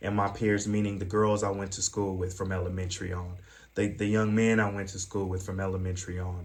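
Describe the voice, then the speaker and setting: Somewhat breathy and in a monotone, flat intonation, a man with an American accent speaks amid audible room echo. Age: 40s. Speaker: former pimp turned youth advocate and trainer. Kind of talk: training presentation. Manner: fast; hesitant, filler-heavy.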